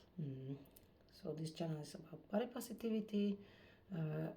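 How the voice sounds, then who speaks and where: A woman speaks at a fairly low pitch with a dark, mellow tone and a somewhat breathy quality. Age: 50s. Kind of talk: casual talk to camera.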